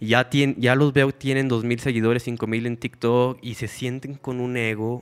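A man speaks in a normal speaking voice at a medium pitch. His intonation is fairly even and his pace is moderate. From Mexico, Lerdo, Durango (Comarca Lagunera). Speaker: content creator on natural living and gardening. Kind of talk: casual interview chat.

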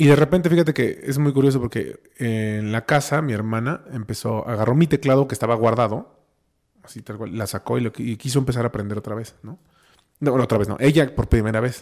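A man with a Mexican accent and big swings in loudness. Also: medium pitch for a man, ordinary pitch variation, fairly quick pace. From Mexico, Oaxaca. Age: 30s. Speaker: musician, pianist. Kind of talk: casual chat.

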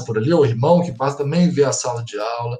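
Somewhat breathy, this voice carries ordinary pitch variation. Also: man. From Minas Gerais, Brazil (Belo Horizonte). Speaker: school pedagogical coordinator and psychologist. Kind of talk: interview.

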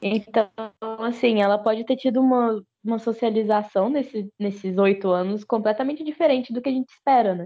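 It is a plain, everyday voice. The pace is fairly quick, with ordinary pitch variation. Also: woman, fairly high pitch for a woman. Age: 20s. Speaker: history teacher. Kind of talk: casual chat. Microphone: voice cutting out.

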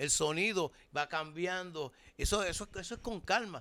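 Projecting in a raised voice, a man speaks with a bright, sharp tone at a high pitch, with ordinary pitch variation and a fairly slow pace. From Puerto Rico, Loíza. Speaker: bandleader and music teacher. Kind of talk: casual interview. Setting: band rehearsal.

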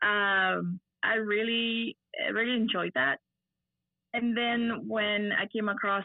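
The speaker has an Argentinian accent. Pitch moves in an ordinary way. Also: woman. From Argentina. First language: Spanish. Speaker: miniature painter and gamer. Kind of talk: casual interview.

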